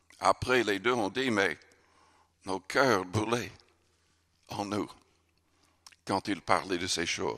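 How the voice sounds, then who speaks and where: Very slowly and with long, frequent pauses, a man speaks at a fairly low pitch in a bright, sharp tone. His pitch varies in an ordinary way over a quiet background. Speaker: pastor. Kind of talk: sermon. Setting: church. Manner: earnest, forceful preaching with emphatic, urgent delivery. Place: church. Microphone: podium.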